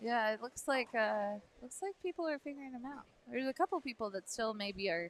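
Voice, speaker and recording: A loud, high-pitched woman's voice at a fairly quick pace, with very wide pitch swings. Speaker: bowling live stream commentator. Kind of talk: live commentary. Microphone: microphone too quiet, sound problems.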